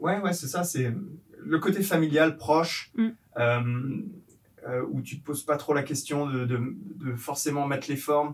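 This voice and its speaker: Pausing long and often, a man speaks at a fairly slow pace in a fairly high voice with ordinary pitch variation. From France, Yvelines. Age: 30s. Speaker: entrepreneur, company co-founder. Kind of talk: casual interview. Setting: coworking space in Paris. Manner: halting, many fillers and repetitions.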